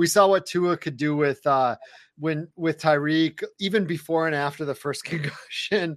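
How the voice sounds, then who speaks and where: In a normal speaking voice, a man talks at a moderate pace with a fairly high pitch and fairly even intonation, the sound dry and close with no echo over a quiet background. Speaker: fantasy football analyst. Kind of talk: casual interview chat. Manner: laid-back.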